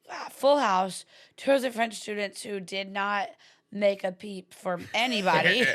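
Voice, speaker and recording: Speaking at a fairly slow pace with an American accent, a woman sounds animated, her medium pitch showing ordinary variation and her loudness swinging widely. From US South. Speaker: comedian and podcast co-host. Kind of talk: casual chat. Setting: studio.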